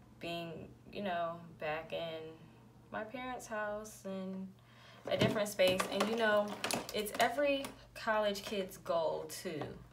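Against noticeable background noise, a woman speaks at a very slow pace with long, frequent pauses. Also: ordinary pitch variation. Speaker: beauty vlogger. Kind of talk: casual vlog chat. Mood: relaxed, reflective. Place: home room. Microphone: phone near.

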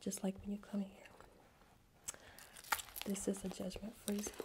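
Whispering in a gentle tone, a woman is heard over noticeable background noise. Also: moderate pace. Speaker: wellness host. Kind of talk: soft-spoken ASMR-style talk. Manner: gentle reassuring whisper. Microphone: studio mic.

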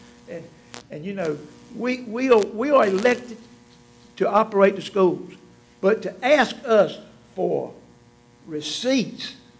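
Over music in the background, a man with a high pitch and ordinary pitch variation talks at a fairly slow pace with long, frequent pauses. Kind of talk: public meeting address. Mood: frank, firm, somewhat indignant. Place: meeting room. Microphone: podium.

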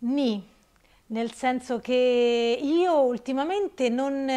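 Lively intonation over a quiet background. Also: woman. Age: 50s. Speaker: participant in fitness coaching program; interviewee. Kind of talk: interview testimony; interview answer. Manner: halting. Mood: emotional, reflective. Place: shop. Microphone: lapel.

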